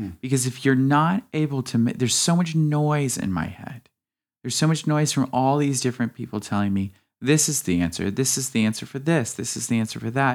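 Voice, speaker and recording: A man speaks in a plain, everyday voice with a medium pitch and lively intonation. His pace is fairly quick, and the recording is very clean with a silent background. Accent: American. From US South and Midwest. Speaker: painter and hairstyling student. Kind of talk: casual chat.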